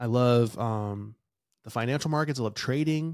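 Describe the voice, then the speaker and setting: A very clean recording with a silent background captures a man speaking with an American accent. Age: 30s. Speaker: podcast host, microdosing content creator, Marine veteran. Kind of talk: casual solo monologue. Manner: casual, filler-heavy.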